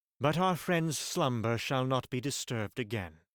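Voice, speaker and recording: Using a put-on character voice, a man talks with lively intonation. His pitch is medium and his pace moderate. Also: very clean recording, silent background. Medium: read story. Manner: thoughtful.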